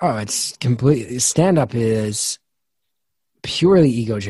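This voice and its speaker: Somewhat breathy and dark, mellow in tone, a man speaks at a medium pitch against a quiet background. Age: 40s. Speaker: comedian and podcast host. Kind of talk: interview.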